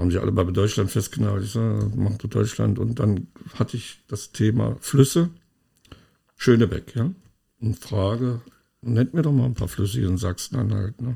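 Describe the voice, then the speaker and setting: A man with a dark, mellow tone, fairly low pitch and vocal fry speaks at a moderate pace with ordinary pitch variation and long, frequent pauses. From East Germany. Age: 60s. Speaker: podcast co-host. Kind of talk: casual chat.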